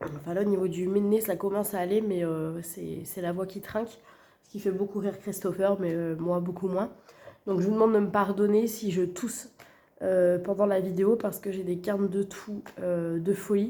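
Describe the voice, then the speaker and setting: At a moderate pace, a woman speaks with monotone, flat intonation at a medium pitch. Her tone is dark and mellow. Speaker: budgeting vlogger. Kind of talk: casual vlog. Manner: hesitant, many fillers.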